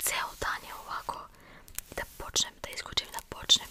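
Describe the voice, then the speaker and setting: A woman whispers. Noticeable background noise runs underneath. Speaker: ASMR creator. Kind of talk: ASMR whispered hair play. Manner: whispered, soft-spoken.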